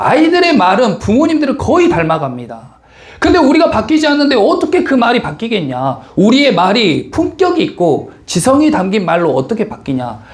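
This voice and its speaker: Extremely high in pitch, a man's voice swings very widely at a moderate pace. Audible room echo and noticeable background noise are present. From Korean region with a strong dialect. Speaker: pastor. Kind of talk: sermon.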